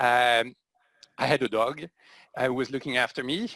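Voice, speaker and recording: A man's medium-pitched voice with a bright, sharp tone moves at a moderate pace on a very clean recording, with a silent background and a dry, close sound with no echo. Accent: French. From France. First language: French. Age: 50s. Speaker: social enterprise CEO. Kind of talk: interview.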